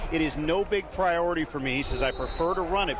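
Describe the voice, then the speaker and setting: A man speaks at a fairly quick pace while noticeable background noise plays behind him. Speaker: sports broadcaster. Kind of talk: sideline sports reporting.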